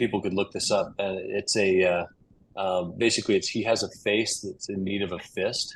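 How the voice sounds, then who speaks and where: Here a man speaks in a normal speaking voice with an American accent. His pitch is fairly low and his pace fairly quick. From Utah, USA. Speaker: cyclist, flooring business owner. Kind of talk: podcast interview answer.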